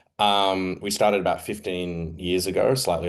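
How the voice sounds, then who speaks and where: Against a quiet background, a man speaks at a moderate pace with an Australian accent. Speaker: investigative journalist, editor. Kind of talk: panel presentation. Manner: hesitant, many fillers.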